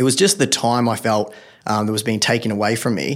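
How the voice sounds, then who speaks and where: Someone speaks at a very fast pace with an Australian accent. The recording is very clean, with a silent background. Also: man. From regional Victoria, Australia. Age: 30s. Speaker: personal finance blogger and podcaster. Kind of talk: casual interview chat.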